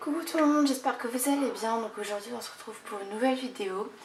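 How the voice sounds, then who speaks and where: Over light background noise, a woman puts on a character voice with a high, hoarse pitch and talks at a very fast pace. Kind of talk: casual video greeting.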